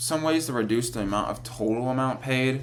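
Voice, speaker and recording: Male speech with noticeable background noise and echo from the room audible. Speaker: college student. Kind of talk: class presentation. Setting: screen recording. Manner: fast; halting.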